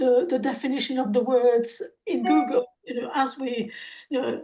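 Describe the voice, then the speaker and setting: High pitch from a woman speaker. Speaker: participant in faith discussion group. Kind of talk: group discussion comment.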